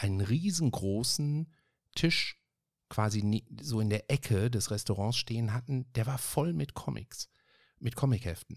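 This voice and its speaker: In a very clean recording with a silent background, a man speaks at a medium pitch and a fairly slow pace, with ordinary pitch variation and a dry, close sound with no echo. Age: 50s. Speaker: podcast host. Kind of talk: casual chat. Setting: home office. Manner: animated.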